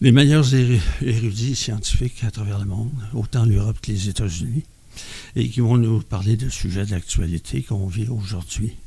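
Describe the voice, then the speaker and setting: With a dark, mellow tone that is somewhat breathy, a man speaks at a moderate pace and medium pitch with ordinary pitch variation. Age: 70s. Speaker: member of a mental health community group. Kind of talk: podcast testimony. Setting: around a table with group.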